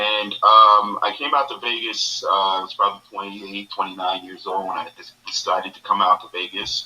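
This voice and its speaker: A man talks at a moderate pace with hardly any pauses. His loudness swings widely. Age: 60s. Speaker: actor. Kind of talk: panel interview. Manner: halting.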